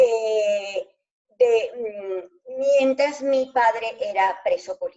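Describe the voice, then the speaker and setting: A high-pitched woman talks at a very slow pace with ordinary pitch variation. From Venezuela (Andes, Maracaibo), born in Spain. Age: 70s. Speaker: retired dentist, alumna. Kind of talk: interview.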